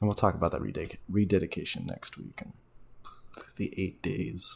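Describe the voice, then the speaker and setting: A man mumbling at a fairly quick pace. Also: big swings in loudness. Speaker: religious teacher. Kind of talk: casual teaching talk. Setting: at home. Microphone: speaking very close to the mic.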